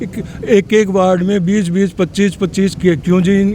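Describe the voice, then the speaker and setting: A high-pitched man speaks at a moderate pace over noticeable background noise. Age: 70s. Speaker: local election candidate. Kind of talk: interview.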